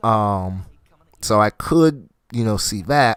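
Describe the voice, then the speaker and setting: Very slow, lively intonation, with a dry, close sound free of echo on a very clean recording over a silent background. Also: man. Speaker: gaming streamer. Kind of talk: live gameplay stream chat. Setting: home streaming setup with laptop. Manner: speaking at higher pitch than normal.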